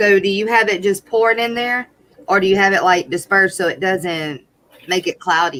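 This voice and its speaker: A woman's medium-pitched voice with a Southern accent. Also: ordinary pitch variation, moderate pace. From US South, Louisiana. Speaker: livestream co-host. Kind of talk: live stream chat. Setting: live stream.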